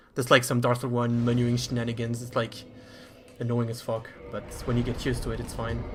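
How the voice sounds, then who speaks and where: A man talks at a fairly quick pace in a medium pitch with monotone, flat intonation. Music plays in the background. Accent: French. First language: French. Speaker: speedrunner. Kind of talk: live gameplay commentary. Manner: halting.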